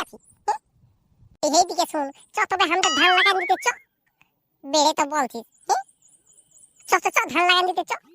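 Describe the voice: A man uses a squeaky, cartoonish character voice at an extremely high pitch and a very fast pace.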